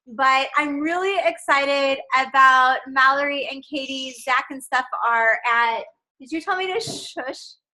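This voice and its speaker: In a raised, projected voice with a bright, sharp tone, the speaker goes at a fairly slow pace with big swings in loudness and ordinary pitch variation. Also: woman, high pitch for a woman. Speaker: team leader. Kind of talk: team training call. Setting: video call.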